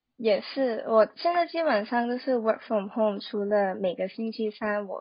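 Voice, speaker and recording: A woman with a fairly high, somewhat breathy voice talks at a fairly slow pace. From Hong Kong. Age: 20s. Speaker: social media marketer. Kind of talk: casual interview.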